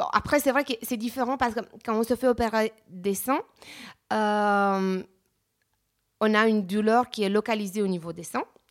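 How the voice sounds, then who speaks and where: In a very clean recording with a silent background, a woman speaks at a moderate pace and a fairly high pitch, with ordinary pitch variation and long, frequent pauses. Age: 30s. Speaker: real estate agent sharing plastic surgery experience. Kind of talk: testimony. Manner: halting, many hesitations.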